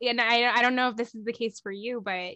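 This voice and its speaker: A bright, sharp tone with an American accent comes through against a quiet background. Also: woman. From South Florida, US. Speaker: performing artist and Reiki healer. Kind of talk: casual interview. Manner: animated.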